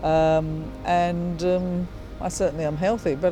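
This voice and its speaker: A woman with an English accent talks over music in the background. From England, North London. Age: 70s. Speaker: retired registered nurse. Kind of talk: interview answer. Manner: casual, hesitant.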